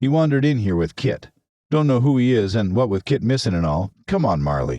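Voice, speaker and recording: A man puts on a gruff character voice at a medium pitch, his pitch swinging very widely. He talks at a fairly quick pace with very even loudness. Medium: read story. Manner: gruff, commanding, macho.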